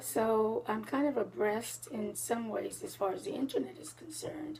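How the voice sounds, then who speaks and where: A woman speaks at a fairly slow pace. Noticeable background noise can be heard behind her. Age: 70s. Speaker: senior citizen interviewee. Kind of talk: interview. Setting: at her home.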